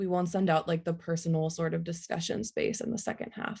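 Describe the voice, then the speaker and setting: Fairly quick and somewhat breathy, the voice has a dark, mellow tone and ordinary pitch variation. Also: woman. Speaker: online educator, workshop presenter. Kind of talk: online workshop presentation. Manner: fast.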